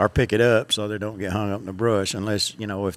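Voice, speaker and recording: A man with a Southern US accent, fairly low-pitched, at a fairly quick pace. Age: 60s. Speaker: fishing guide. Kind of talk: casual interview.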